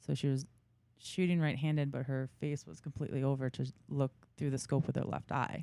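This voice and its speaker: A woman with a New York accent speaks at a fairly quick pace in a very deep, low voice, her tone dark and mellow and her intonation fairly even. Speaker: big game hunter. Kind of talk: casual interview chat.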